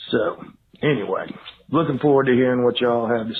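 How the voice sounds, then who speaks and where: A man with a Georgia accent talks at a very fast pace. His pitch is medium, and his intonation stays fairly even. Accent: Georgia (US South). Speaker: voicemail caller. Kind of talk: recorded voicemail question.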